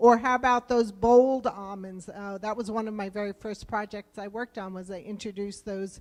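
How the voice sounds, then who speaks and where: A woman speaks with a New Jersey accent. Her pitch is fairly high and her pace moderate. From US East Coast, New Jersey. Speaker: government program director for rural business loans. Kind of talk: conference presentation. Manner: conversational, with fillers.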